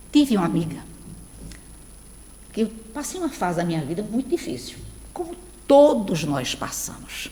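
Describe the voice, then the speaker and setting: With long, frequent pauses, a woman with a fairly high voice talks at a moderate pace, her pitch swinging very widely. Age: 60s. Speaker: spiritist lecturer. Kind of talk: lecture. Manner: conversational, addressing audience.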